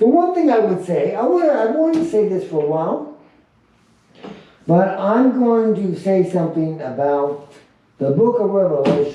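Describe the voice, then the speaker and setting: In a room with audible echo, a man with a high pitch speaks at a moderate pace, his pitch swinging very widely between long, frequent pauses. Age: 70s. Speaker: Bible study leader. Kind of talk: casual chat. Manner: halting.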